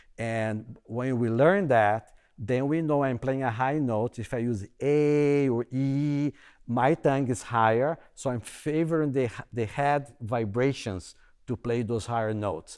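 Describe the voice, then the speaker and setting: A man with a strong non-native accent speaks at a medium pitch and a fairly slow pace, with ordinary pitch variation, in a very clean recording with a silent background. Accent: heavy non-native accent in English. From Brazil. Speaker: bassoon professor. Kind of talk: panel discussion. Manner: halting, repeats words.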